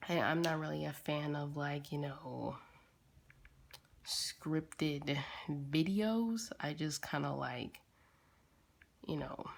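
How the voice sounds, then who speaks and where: Very slow speech broken by long, frequent pauses. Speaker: digital artist. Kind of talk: casual commentary while drawing. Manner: halting, many fillers.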